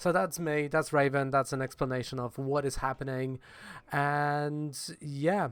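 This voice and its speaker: Someone speaks at a fairly slow pace in a Polish accent. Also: very clean recording, silent background. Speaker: comics blogger and video creator. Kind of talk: casual vlog talk to camera. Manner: hesitant, many fillers; animated, gestures a lot.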